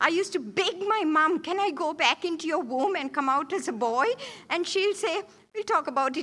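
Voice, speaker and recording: A woman's raised, projected voice, lively in intonation and moderate in pace. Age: 70s. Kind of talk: church talk. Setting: church.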